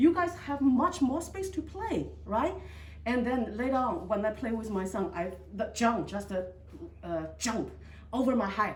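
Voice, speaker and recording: Pitch swings very widely at a moderate pace, in a Chinese accent. Room echo is audible. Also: woman. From China. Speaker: resident giving testimony. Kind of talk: testimony. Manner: halting.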